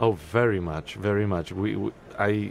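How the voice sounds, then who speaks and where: With a Serbian accent, a man speaks with ordinary pitch variation. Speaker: opera singer. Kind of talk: radio interview. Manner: halting, many fillers and repetitions.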